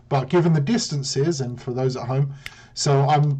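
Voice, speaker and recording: A man speaks at a fairly quick pace with a fairly high pitch and fairly even intonation. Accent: British. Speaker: game commentator. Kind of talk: live commentary. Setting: live stream.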